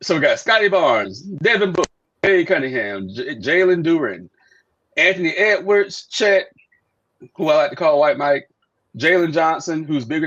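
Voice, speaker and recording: The voice moves at a moderate pace with lively intonation. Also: man. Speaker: podcast host. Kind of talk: casual chat. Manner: loud.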